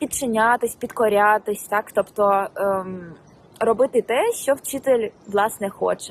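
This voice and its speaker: At a very slow pace, the voice comes through with a dry, close sound and no echo. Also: woman, fairly high pitch for a woman, fairly even intonation. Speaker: language teacher, YouTuber. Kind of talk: casual vlog lesson. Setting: outdoors. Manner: hesitant, many fillers.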